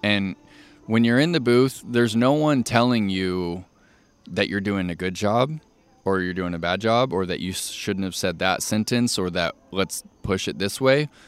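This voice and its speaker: Music plays behind a man's voice. The sound is dry and close, with no echo. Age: 30s. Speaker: disc golf player and commentator. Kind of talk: casual chat. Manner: polished, practiced delivery; animated.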